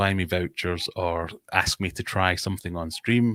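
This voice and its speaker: Here a man talks with a Scottish accent. His pitch moves normally, and the sound is dry and close with no echo. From Scotland. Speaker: fishkeeping content creator. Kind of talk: casual chat. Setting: live stream video call.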